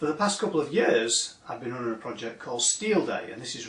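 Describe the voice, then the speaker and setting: A man speaks in this recording. Audible room echo and noticeable background noise are present. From northern England, Manchester. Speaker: industry association director. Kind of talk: recorded video address.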